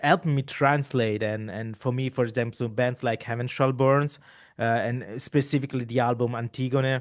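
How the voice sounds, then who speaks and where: A man with an Italian accent speaks at a moderate pace and medium pitch, his intonation fairly even against a quiet background. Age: 30s. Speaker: podcast host. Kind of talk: casual interview conversation. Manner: halting, many repeated words.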